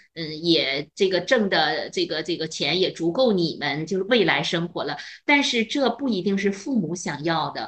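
A woman with an ordinary speaking voice talks at a moderate pace in a fairly low pitch, with lively intonation and hardly any pauses. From northern China. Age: 50s. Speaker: retired chemistry teacher. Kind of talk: casual chat.

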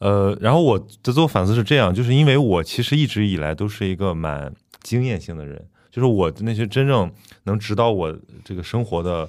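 Using an unremarkable speaking voice, a man talks at a fairly quick pace, fairly low in pitch, with lively intonation. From Shandong, China. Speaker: podcast host. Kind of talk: casual chat.

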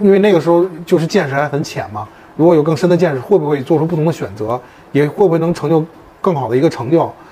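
Over noticeable background noise, a man with a fairly high pitch speaks at a very fast pace with ordinary pitch variation. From Beijing. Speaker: marketing agency CEO. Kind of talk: interview. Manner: halting.

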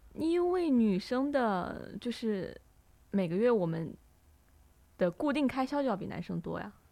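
With long, frequent pauses, a woman speaks at a fairly slow pace, her fairly high, dark, mellow voice making very wide pitch swings. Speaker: student podcast co-host. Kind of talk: casual chat.

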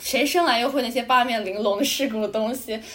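The speaker is a woman. She talks high in pitch with ordinary variation. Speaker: student podcast co-host. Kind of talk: casual chat.

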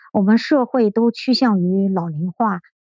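The dark, mellow tone is somewhat breathy, with ordinary pitch variation and a dry, close sound with no echo. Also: woman. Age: 50s. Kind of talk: interview testimony. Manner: hesitant, many fillers.

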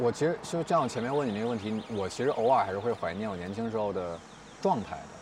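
Over noticeable background noise, a man of medium pitch speaks at a very fast pace with lively intonation. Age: 30s. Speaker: podcast host. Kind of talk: casual chat. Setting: outdoors.

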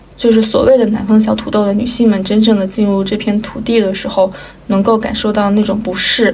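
A woman speaks in a fairly high voice with a flat, monotone delivery. The room echoes audibly, and background noise is noticeable. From Inner Mongolia, China. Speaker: podcast co-host. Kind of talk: casual chat.

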